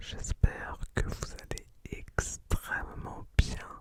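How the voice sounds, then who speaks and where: The whispering moves at a very slow pace, with noticeable background noise behind it. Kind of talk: ASMR educational talk. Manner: whispered; soft, relaxing.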